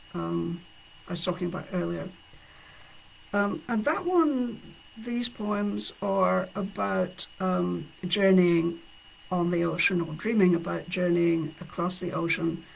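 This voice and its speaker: Someone talks at a very slow pace in a Scottish accent. There is noticeable background noise. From Scotland. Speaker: poet. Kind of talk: casual talk between poems; poetry reading. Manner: halting, many fillers.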